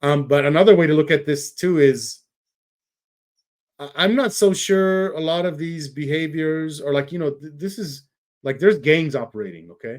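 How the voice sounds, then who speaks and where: This man has an unremarkable speaking voice, fairly high in pitch, with ordinary pitch variation, a moderate pace and big swings in loudness. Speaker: podcast host. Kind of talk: casual podcast conversation.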